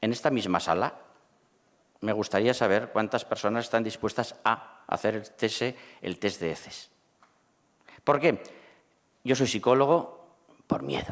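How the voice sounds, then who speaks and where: Over a silent background in a very clean recording, a man talks at a fairly slow pace with lively intonation and long, frequent pauses. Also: medium pitch for a man. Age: 60s. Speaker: cancer survivor and patient advocate. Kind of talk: panel discussion.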